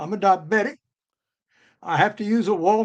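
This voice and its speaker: A man speaks at a moderate pace. He has a Southern US accent. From US South, Georgia. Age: 80s+. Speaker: author and retired geologist. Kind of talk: interview.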